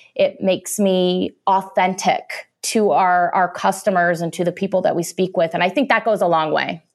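A woman with a Midwestern US accent speaks at a moderate pace in a medium pitch, with hardly any pauses. Her intonation is fairly even, her loudness very even, and the recording very clean with a silent background. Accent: US Midwest. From rural Illinois, US Midwest. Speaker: chemical technology executive. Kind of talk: interview.

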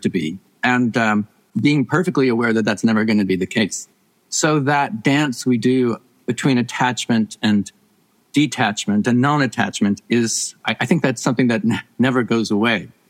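A plain, everyday voice at a moderate pace, with very even loudness and a dry, close sound with no echo. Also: man. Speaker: professor and author. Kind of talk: casual interview conversation.

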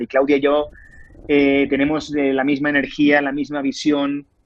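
A man speaks in a fairly high pitch with a Spanish accent. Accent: Spanish (Spain). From Spain. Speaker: actor. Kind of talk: interview.

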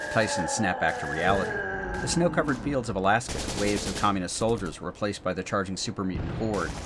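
Talking at a very fast pace with hardly any pauses, a fairly low-pitched man is heard over noticeable background noise. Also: lively intonation. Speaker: audio drama narrator and host. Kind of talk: dramatic narration. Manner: gravelly-grim storyteller, vivid, intense, gripping action pacing.

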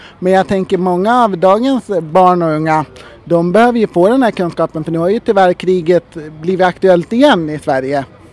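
With music in the background, a man talks in a high voice whose pitch rises and falls normally. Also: moderate pace, dry, close sound with no echo. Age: 30s. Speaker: podcast host. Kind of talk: interview.

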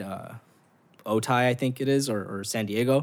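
Recorded very cleanly against a silent background, a man speaks with an American accent. He has an unremarkable speaking voice and fairly even intonation. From Los Angeles, South Central / Southeast. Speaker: nonprofit founder. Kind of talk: casual chat.

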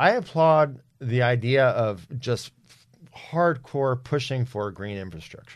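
A man with an American accent speaks in a normal speaking voice of medium pitch, with lively intonation. The background is quiet. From New Jersey. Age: 40s. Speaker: author. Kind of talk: podcast interview.

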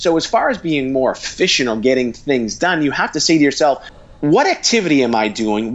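Using a plain, everyday voice, a man speaks at a fairly quick pace in a medium pitch with lively intonation. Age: 40s. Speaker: author and marketing company CEO. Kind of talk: interview.

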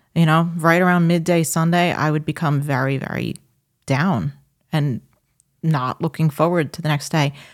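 A woman with a New York accent speaks in a very deep, low voice with fairly even intonation. Her moderate pace comes through in a very clean recording with a silent background. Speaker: podcast co-host. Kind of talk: casual chat.

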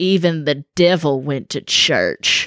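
A put-on character voice in a Southern accent sits at a middle pitch. The pace is fairly slow.

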